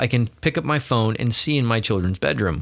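A man with a normal speaking voice, medium pitch and lively intonation is heard in a very clean recording with a silent background. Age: 40s. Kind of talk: casual chat. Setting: office.

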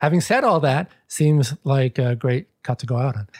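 Recorded dry and close with no echo, a man speaks at a medium pitch with ordinary variation. His tone is dark and mellow, and somewhat breathy. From New York, the Bronx. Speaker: book editor. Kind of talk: interview.

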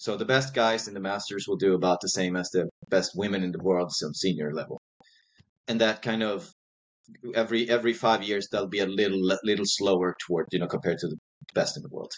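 At a fairly quick pace comes an unremarkable speaking voice with ordinary pitch variation. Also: man, fairly low pitch for a man. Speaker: masters sprinter and track coach. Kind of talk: interview.

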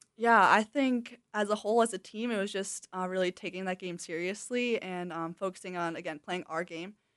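Speaking with an American accent in a plain, everyday voice, a woman talks fairly quickly at a medium pitch with hardly any pauses, the sound dry and close with no echo. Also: ordinary pitch variation, quiet background. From Wisconsin. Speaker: college soccer player. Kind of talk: casual interview.

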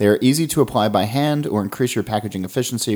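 In a normal speaking voice, a man talks with ordinary pitch variation. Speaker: podcast host. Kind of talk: interview, with read ad copy. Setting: in person.

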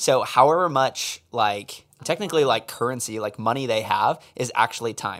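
A man speaks in an ordinary speaking voice at a medium pitch. He keeps a moderate pace with hardly any pauses. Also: ordinary pitch variation. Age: 20s. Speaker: podcast host. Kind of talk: casual chat.

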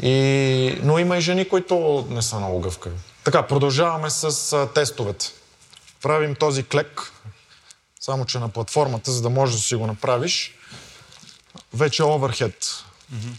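A man at medium pitch with lively intonation, a fairly slow pace and long, frequent pauses, over noticeable background noise. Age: 30s. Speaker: fitness coach. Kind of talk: interview and fitness testing. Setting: gym.

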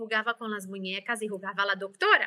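A woman with a Brazilian accent has a bright, sharp tone. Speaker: life coach. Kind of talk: interview.

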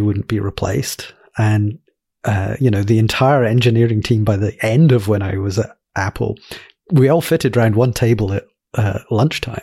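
A man with a medium pitch and a dark, mellow, somewhat breathy tone speaks at a moderate pace with fairly even intonation, captured in a very clean recording with a silent background. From Glasgow, Scotland. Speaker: indie app developer and podcast guest. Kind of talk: casual interview chat.

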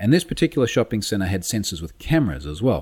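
Fairly quick speech from a man in an Australian accent. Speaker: security expert. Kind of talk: interview. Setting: remote call.

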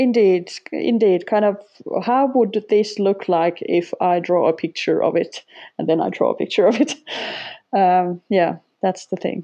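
A woman with a Finnish accent speaks at medium pitch, leaving long, frequent pauses. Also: ordinary pitch variation. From Finland. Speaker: sketchnoter, former language teacher. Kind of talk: interview. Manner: halting, with repetitions.

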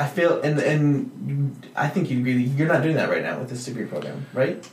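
Against noticeable background noise, a man speaks at a moderate pace and fairly high pitch with fairly even intonation. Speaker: podcast host. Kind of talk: casual interview chat.

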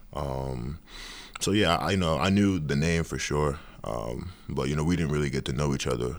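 A man speaks with a very deep, low pitch and vocal fry. His pitch varies in an ordinary way. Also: moderate pace. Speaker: college basketball player. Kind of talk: casual interview.

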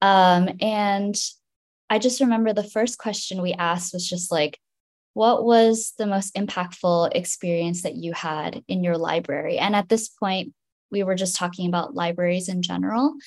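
Using ordinary pitch variation, a woman with an unremarkable speaking voice talks at a medium pitch and a moderate pace. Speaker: research specialist. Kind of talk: interview conversation.

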